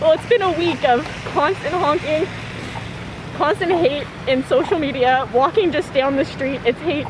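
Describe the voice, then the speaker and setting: A woman with a high pitch speaks with lively intonation over noticeable background noise. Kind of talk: street interview.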